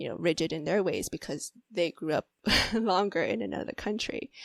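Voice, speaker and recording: A woman with an ordinary speaking voice and medium pitch is heard in a very clean recording, silent background, and a dry, close sound with no echo. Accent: American. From US. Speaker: mental health therapist. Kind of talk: interview.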